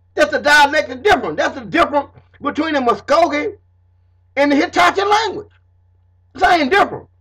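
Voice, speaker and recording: Speaking in a raised, projected voice, a man talks at a fairly quick pace with an extremely high pitch and a bright, sharp, animated tone. His pitch varies in an ordinary way, and he leaves long, frequent pauses. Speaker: self-taught history lecturer. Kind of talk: informal lecture to camera.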